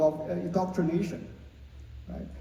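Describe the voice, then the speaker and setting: A man with a Chinese accent is heard with noticeable background noise and audible room echo. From China. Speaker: lawyer. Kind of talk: panel discussion. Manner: halting, many fillers.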